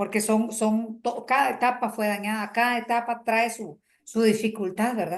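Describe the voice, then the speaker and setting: Over a quiet background, a woman speaks at a fairly high pitch and a fairly slow pace. She has a plain, everyday voice. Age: 60s. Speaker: workshop facilitator. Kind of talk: group workshop talk. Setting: video call.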